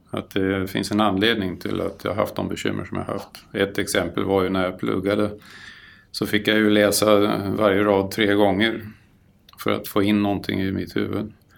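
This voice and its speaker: Flat, monotone intonation with vocal fry. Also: man, fairly low pitch for a man, moderate pace. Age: 60s. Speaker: property caretaker. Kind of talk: interview.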